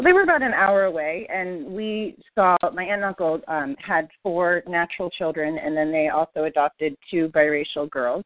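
A woman with a plain, everyday voice, fairly low in pitch, at a moderate pace with ordinary pitch variation and hardly any pauses. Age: 40s. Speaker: podcast guest, listener, adoptee and parent. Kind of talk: personal testimony in interview.

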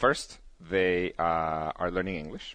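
In a Spanish accent, a man speaks with a very deep, low pitch. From Guatemala. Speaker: company founder and CEO. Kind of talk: casual interview.

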